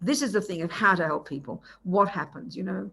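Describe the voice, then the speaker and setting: A woman with an Australian accent, at a very fast pace with very wide pitch swings. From Australia, Melbourne. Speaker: Buddhist nun and teacher. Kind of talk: dharma teaching. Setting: video call. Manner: loud.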